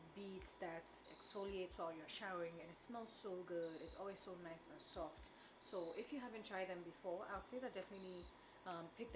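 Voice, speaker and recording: Noticeable background noise sits under the recording. A woman talks at a fairly quick pace with ordinary pitch variation. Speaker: vlogger. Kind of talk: casual vlog chat. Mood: relaxed, chatty. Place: kitchen. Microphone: camera far.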